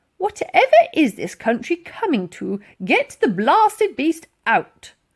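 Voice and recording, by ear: A woman shouts in a put-on character voice at a slow pace. Her pitch is high and makes big swings.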